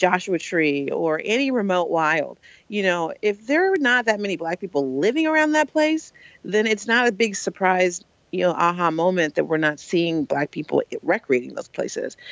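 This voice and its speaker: With an American accent, a woman speaks at a medium pitch and a moderate pace. Her pitch swings very widely. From Oakland, California. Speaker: nonprofit founder. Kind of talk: interview.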